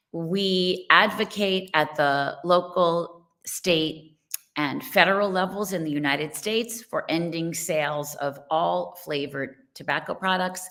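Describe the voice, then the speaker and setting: The tone is bright and sharp, with a New York accent. Delivery is fairly slow, with ordinary pitch variation. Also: woman, fairly low pitch for a woman. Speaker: nonprofit co-founder and parent advocate. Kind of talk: online presentation.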